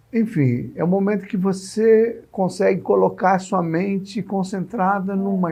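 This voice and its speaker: This man speaks at a high pitch. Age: 60s. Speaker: TV interviewer. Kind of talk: interview. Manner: halting.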